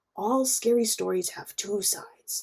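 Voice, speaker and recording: A woman in a put-on character voice, high-pitched, at a moderate pace. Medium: read story. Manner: ominous.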